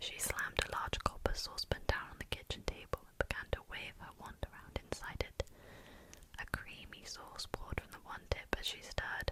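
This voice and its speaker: Over noticeable background noise, a woman whispers at a moderate pace with big swings in loudness. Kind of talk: audiobook-style narration of a fantasy novel. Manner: soft-spoken, relaxing.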